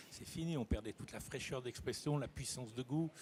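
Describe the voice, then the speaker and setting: Somewhat breathy and dark and mellow in tone, a man speaks at a fairly quick pace with ordinary pitch variation. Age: 70s. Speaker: chef. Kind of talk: casual chat. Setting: trade fair web TV set.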